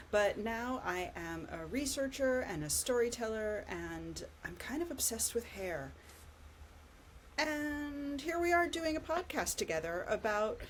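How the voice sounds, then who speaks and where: Very wide pitch swings mark this fairly slow delivery with an American accent. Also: woman. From California, US. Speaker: podcast co-host, researcher. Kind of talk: casual chat.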